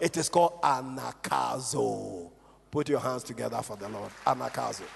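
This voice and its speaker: Noticeable noise sits behind a man whose delivery is moderately paced. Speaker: pastor. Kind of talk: sermon. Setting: church.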